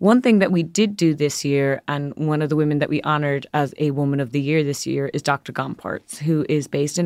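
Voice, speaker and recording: With an Irish accent, a woman talks at a fairly quick pace in a very deep, low pitch with ordinary pitch variation, recorded very cleanly over a silent background. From Ireland. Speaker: magazine editor. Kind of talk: interview conversation.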